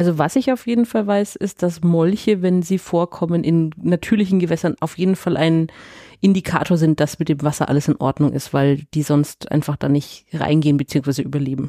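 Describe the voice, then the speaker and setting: A woman speaks at a moderate pace and fairly low pitch, with a dark, mellow tone, ordinary pitch variation and very even loudness. The sound is dry and close with no echo, on a very clean recording with a silent background. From Nuremberg, Franconia. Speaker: podcast co-host. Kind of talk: casual chat.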